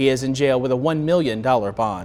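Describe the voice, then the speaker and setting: Using an unremarkable speaking voice with lively intonation, a man with an American accent talks at a moderate pace. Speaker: local TV news anchor. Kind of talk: TV news anchor read.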